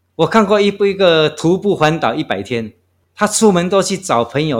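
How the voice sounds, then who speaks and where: A man talks at a moderate pace, and the recording is very clean with a silent background. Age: 60s. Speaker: long-distance walker. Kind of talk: interview. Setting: guesthouse room.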